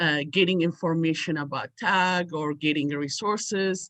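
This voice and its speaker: A woman with a bright, sharp tone and fairly low pitch speaks at a fairly slow pace with fairly even intonation, the sound dry and close with no echo. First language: not English. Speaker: parent in audience. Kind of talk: audience question. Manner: halting.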